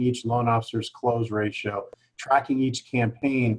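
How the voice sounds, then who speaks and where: A man with a somewhat breathy voice. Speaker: direct mail marketing expert. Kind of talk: webinar panel discussion. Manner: fast.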